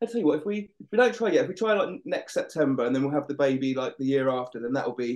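A man with an Essex accent, fairly high-pitched, talking very fast with very wide pitch swings and hardly any pauses. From Essex, England. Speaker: paramedic. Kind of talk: casual chat.

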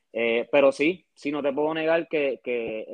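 A man speaks with fairly even intonation. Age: 20s. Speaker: sports fan. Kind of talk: casual chat. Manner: halting.

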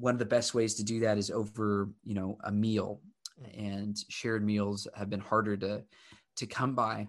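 The man's intonation stays flat and monotone. His voice sits fairly low in pitch. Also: moderate pace. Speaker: podcast host and young adult ministry leader. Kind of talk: casual interview on a live stream.

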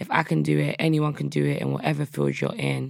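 A woman talks at a fairly quick pace in a South London accent. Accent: South London, Multicultural London English. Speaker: rapper. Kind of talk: casual interview. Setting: studio.

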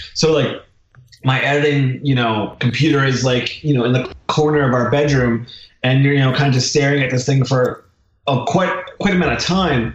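A man with an American accent speaks in an ordinary speaking voice at medium pitch, keeping a moderate pace, very even loudness and ordinary pitch variation. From southern New Jersey, Philadelphia area. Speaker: documentary filmmaker. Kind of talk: casual interview chat.

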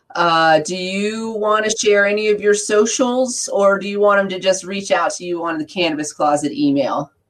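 Using a plain, everyday voice, a woman talks at medium pitch and a moderate pace with ordinary pitch variation and hardly any pauses. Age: 40s. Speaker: podcast co-host. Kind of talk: casual chat. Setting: livestream.

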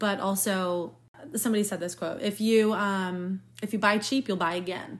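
With a normal speaking voice, a woman speaks at a moderate pace on a very clean recording with a silent background. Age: 20s. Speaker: podcast host, physical therapist. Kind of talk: casual interview.

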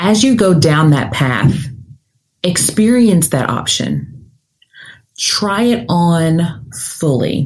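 A woman with a calm tone and a fairly low pitch speaks very slowly, her pitch swinging very widely. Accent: Southern US. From US South, Nashville, Tennessee. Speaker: career coach and podcast host. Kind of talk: guided visualization, second-person imagery leading the listener down a forked path. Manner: deliberately slowed, calm pacing with reflective pauses during the visualization.

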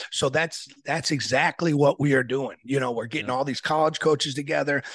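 Fairly high male pitch in a monotone, flat delivery with an American accent. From Aurora, Illinois (US Midwest). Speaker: wrestling coach and event organizer. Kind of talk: casual interview.

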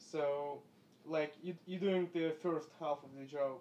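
Speaking with a Russian accent, a man uses a fairly high pitch and fairly even intonation at a fairly slow pace. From West Siberia, Russia. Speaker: doctor. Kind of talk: casual chat.

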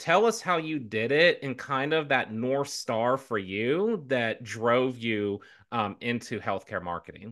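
Against a quiet background, a man with a plain, everyday voice and an American accent talks at a fairly slow pace and medium pitch, with lively intonation and hardly any pauses. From US South. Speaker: podcast co-host, marketing consultant. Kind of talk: casual interview chat.

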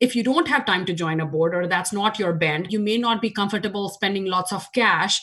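Fairly quick and with hardly any pauses, the speaker talks in an Indian accent with ordinary pitch variation. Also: woman, medium pitch for a woman. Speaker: nonprofit board chair. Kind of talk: interview.

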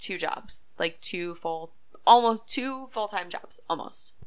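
In an American accent, a woman speaks at a fairly slow pace with ordinary pitch variation. She has a normal speaking voice. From upstate New York. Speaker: social media manager and podcast host. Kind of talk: casual monologue.

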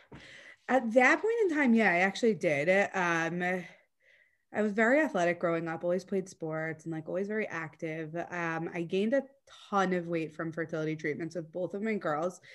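At a moderate pace, a woman with an American accent uses a normal speaking voice with a fairly low pitch. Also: ordinary pitch variation. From US South (Atlanta, Georgia). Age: 30s. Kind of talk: personal interview, emotional testimony. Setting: video call.

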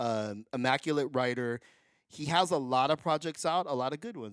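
A man's unremarkable speaking voice, medium in pitch, at a moderate pace with ordinary pitch variation, in a dry, close sound with no echo. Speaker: podcast co-host. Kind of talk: casual chat. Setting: studio.

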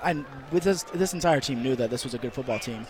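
Noticeable background noise runs under the recording. A man speaks with ordinary pitch variation. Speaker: college football player. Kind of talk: post-game interview. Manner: halting.

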